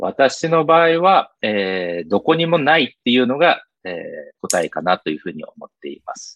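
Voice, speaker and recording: A man's delivery moves at a moderate pace. His volume rises and falls by a lot. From Brazil (São Paulo), Japanese community. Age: 40s. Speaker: interview guest. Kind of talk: interview. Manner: formal, polite with fillers.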